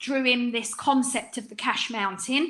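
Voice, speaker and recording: With an English accent, a woman talks at a moderate pace in a high pitch and a bright, sharp tone. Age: 50s. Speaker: business coach. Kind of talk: webinar presentation. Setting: online webinar. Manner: animated.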